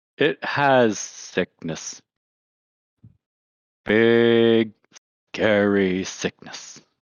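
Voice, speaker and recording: A quiet man in a put-on character voice, medium in pitch, very slow, with long and frequent pauses. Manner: hushed, ominous.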